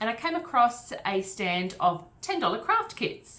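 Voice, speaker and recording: Very wide pitch swings mark this voice with an Australian accent, heard over noticeable background noise. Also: woman. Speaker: craft reviewer. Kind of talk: casual voice-over review.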